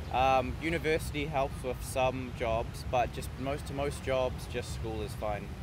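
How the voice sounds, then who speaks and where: Here a man speaks in a New Zealand accent with very wide pitch swings. He barely pauses, and there is audible room echo. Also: medium pitch for a man, fairly slow pace. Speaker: foreign tourist interviewed in park. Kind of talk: casual interview. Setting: outdoors in a park. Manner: hesitant.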